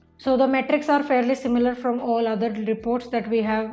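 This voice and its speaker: With an Indian accent, a woman talks at a fairly quick pace in a high pitch, her intonation monotone and flat. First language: Hindi. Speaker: online marketing instructor. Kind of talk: tutorial. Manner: casual, filler-heavy.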